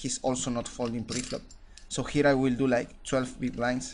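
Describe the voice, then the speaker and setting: This man has a medium pitch and speaks with a non-native accent. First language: not English. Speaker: poker coach. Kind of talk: hand review commentary. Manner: halting, many fillers and repetitions.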